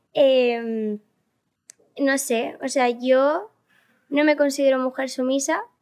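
Over a quiet background, a woman talks at a very slow pace in a high pitch, her intonation fairly even and her speech broken by long, frequent pauses. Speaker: viral content creator; podcast guest. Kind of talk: interview. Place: studio. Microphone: studio mic.

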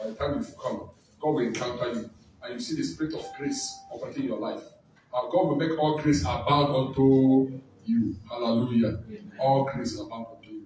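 Amid audible room echo and light background noise, a man talks at a fairly quick pace with ordinary pitch variation and big swings in loudness. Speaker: conference host. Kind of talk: sermon. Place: church. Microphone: camera far.

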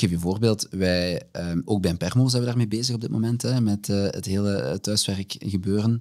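A man's fairly low-pitched voice at a moderate pace, with hardly any pauses, ordinary pitch variation and a quiet background. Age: 30s. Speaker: HR director; guest. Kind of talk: interview. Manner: hesitant, many fillers. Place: studio. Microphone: studio mic.

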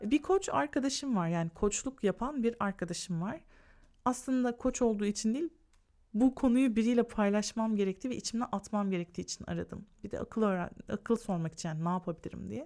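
A woman speaks fairly quickly with lively intonation and a fairly high pitch. Her tone is dark and mellow, and the recording is very clean with a silent background. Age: 40s. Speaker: lifestyle YouTuber. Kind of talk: podcast monologue.

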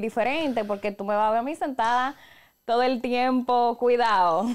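A woman talks at a moderate pace with ordinary pitch variation. She has a plain, everyday voice. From Dominican Republic (La Vega); Dominican Republic. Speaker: professional voice-over announcer and podcast co-host; podcast guest, professional announcer. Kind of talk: casual chat. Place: studio. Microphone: studio mic.

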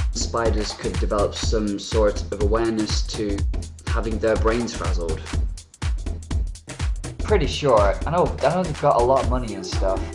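With music in the background, the speaker keeps a moderate pace broken by long, frequent pauses. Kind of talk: casual talk to camera. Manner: rambling, hesitant.

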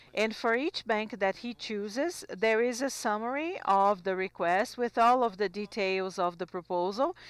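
An unremarkable speaking voice moves at a fairly slow pace with ordinary pitch variation and a dry sound with no echo. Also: woman. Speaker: simultaneous interpreter; presenter. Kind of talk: simultaneous interpretation of conference talks. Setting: conference hall. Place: hall. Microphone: handheld.

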